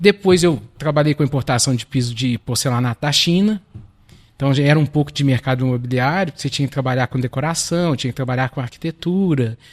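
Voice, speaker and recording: A man speaks at a fairly quick pace in a somewhat breathy voice. The recording is very clean and dry, with a close sound, a silent background, and no echo. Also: fairly high pitch for a man, ordinary pitch variation. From Minas Gerais, Belo Horizonte. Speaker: lawyer and real estate business partner. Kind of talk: podcast interview.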